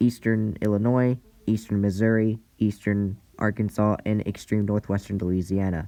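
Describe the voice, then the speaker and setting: A man's fairly low, monotone voice with flat intonation and very even loudness, music in the background. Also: moderate pace. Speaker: amateur weather presenter. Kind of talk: weather outlook briefing. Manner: halting, frequent self-corrections.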